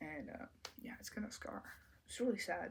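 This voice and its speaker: Soft-spoken and somewhat breathy, a woman talks with lively intonation. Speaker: commentary YouTuber. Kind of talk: casual vlog commentary.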